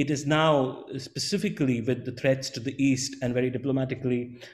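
A man's moderate pace comes through over a quiet background. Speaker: webinar moderator. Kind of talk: panel discussion. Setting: video call. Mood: calm, polite, formal. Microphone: webcam.

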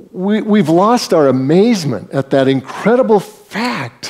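The man's words come out at a very slow pace. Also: quiet background. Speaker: preacher. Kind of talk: sermon. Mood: warm, humorous, emphatic. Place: church.

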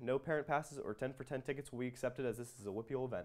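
Against a quiet background, a man talks at a very fast pace. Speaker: student sports reporter. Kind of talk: news announcement reading. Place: studio. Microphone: lapel.

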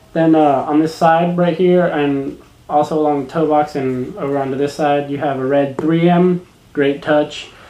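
A man at a moderate pace, with audible room echo. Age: 20s. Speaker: shoe review vlogger; sneaker reviewer. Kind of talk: product review vlog. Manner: casual, hesitant with fillers. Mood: relaxed, enthusiastic. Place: home room. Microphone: webcam.

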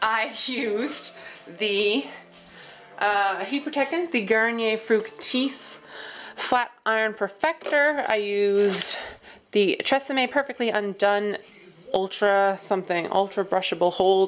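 A woman at a fairly slow pace, with ordinary pitch variation and faint music in the background. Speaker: vlogger. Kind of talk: casual vlog chat. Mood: cheerful, laughing. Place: home room. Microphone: phone near.

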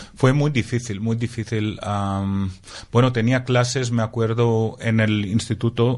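In a Greek accent, a man speaks at a fairly slow pace with a medium pitch and monotone, flat intonation. The background is quiet. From Greece (Crete, Athens). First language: Greek (speaking Spanish). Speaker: translator. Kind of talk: interview. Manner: halting.

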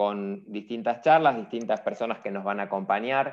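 With a quiet background, a man speaks at a moderate pace. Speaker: webinar host. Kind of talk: event introduction. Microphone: earbuds.

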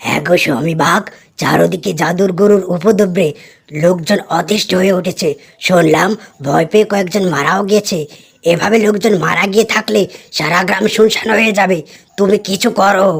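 A woman uses a raspy, cartoonish character voice at a medium pitch. She talks at a moderate pace with ordinary pitch variation.

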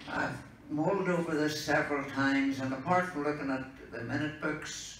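A man speaks at a fairly quick pace with fairly even intonation. Light background noise and audible room echo are present. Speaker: speaker. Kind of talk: informal talk to an audience. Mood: relaxed, humorous. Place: meeting room.

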